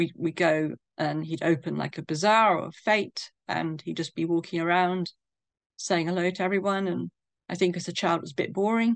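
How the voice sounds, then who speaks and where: With a southern English accent, a woman talks at a moderate pace and a fairly low pitch. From England, London. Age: 60s. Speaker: bereaved daughter sharing her story. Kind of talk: interview testimony.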